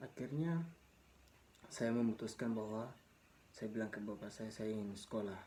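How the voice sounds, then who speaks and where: A man with a dark, mellow tone speaks at medium pitch with ordinary pitch variation and long, frequent pauses. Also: moderate pace. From Papua highlands, Indonesia. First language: Mee (Papuan language) (speaking Indonesian). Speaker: vlogger sharing life story. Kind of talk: personal storytelling. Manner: casual, halting with repetitions.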